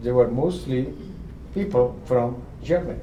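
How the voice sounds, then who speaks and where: With lively intonation, a man speaks at a medium pitch amid noticeable background noise and audible room echo. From Eastern Europe (Romania/Ukraine), later Israel. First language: not English (multilingual; learned English as adult). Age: 80s+. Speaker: Holocaust survivor speaker. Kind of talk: talk to students, Q&A. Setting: lecture hall with student audience, livestreamed.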